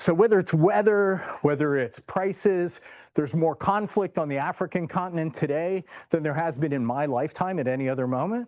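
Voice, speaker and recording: Against a quiet background, a man talks at a fairly quick pace in a plain, everyday voice pitched fairly high. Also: ordinary pitch variation. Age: 60s. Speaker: professor. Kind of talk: lecture. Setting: seminar room with audience and online viewers.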